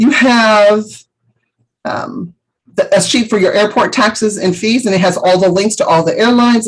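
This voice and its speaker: Her voice is somewhat breathy and fairly high in pitch, with ordinary pitch variation. The woman keeps a moderate pace. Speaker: travel agent vendor trainer. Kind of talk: training webinar.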